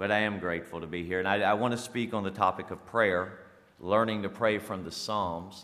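There is audible room echo as a man with a South Carolina accent talks at a fairly quick pace in a fairly low pitch. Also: fairly even intonation. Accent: Southern US (South Carolina). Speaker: pastor and firefighter. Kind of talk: sermon. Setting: church.

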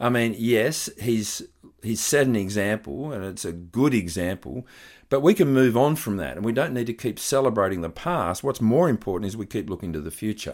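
Someone with an Australian accent talks at a moderate pace with lively intonation, recorded very cleanly against a silent background. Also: man, medium pitch for a man. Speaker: pastor. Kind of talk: sermon.

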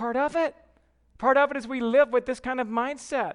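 Against a quiet background, a man with a Southern US accent talks at a moderate pace. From US South (Georgia). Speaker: pastor. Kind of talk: sermon. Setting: church.

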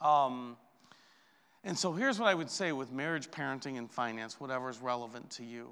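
Speaking at a fairly quick pace, a man has a medium pitch, ordinary pitch variation and a bright, sharp tone. His loudness swings widely, and room echo is audible. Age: 40s. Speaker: pastor. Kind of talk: sermon.

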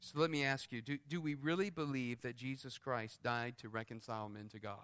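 An unremarkable speaking voice from a man, medium in pitch with ordinary variation, at a fairly slow pace, in a very clean recording with a silent background. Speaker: preacher. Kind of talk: sermon; fervent prayer. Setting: church. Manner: earnest, pleading, heartfelt.

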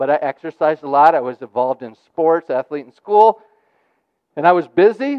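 In a plain, everyday voice, a man with a fairly high pitch talks at a fairly quick pace, with lively intonation and big swings in loudness. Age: 40s. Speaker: pastor. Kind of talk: sermon. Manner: frequent restarts and repeated words.

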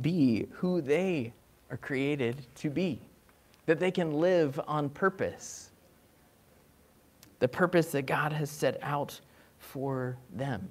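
The voice moves at a slow pace with lively intonation. It carries a slightly husky edge. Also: man.

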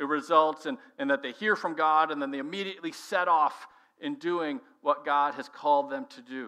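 This man has a fairly high pitch and a bright, sharp tone, with an American accent. He keeps a moderate pace and ordinary pitch variation. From Minnesota (Minneapolis). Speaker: pastor. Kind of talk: sermon.

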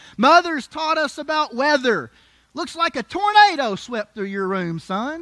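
In a raised, projected voice at an extremely high pitch, a man talks at a fairly slow pace with very wide pitch swings and a bright, sharp, warm, animated tone. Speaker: preacher. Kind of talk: sermon. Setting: church with congregation. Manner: animated, call-and-response, pausing for congregation amens; warm, humorous, conversational preacher cadence.

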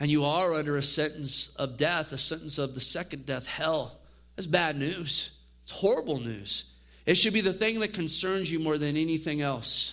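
A man's fairly high voice with a bright, sharp tone, ordinary pitch variation and a moderate pace. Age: 50s. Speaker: pastor teaching a Bible study. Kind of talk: Bible study teaching.

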